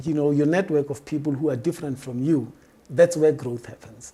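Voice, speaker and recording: The speech comes at a fairly quick pace. It is delivered in a Botswana accent. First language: Setswana. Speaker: diversity and workplace expert. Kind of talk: interview.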